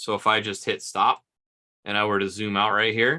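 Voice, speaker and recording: A man's fairly low voice with a bright, sharp tone, at a fairly quick pace. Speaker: automotive diagnostics trainer. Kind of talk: livestream tutorial Q&A. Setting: home livestream. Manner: fast.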